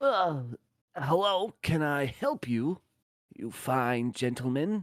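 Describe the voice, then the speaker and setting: A man in a put-on character voice talks at a very slow pace with lively intonation. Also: fairly high pitch for a man. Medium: actual play.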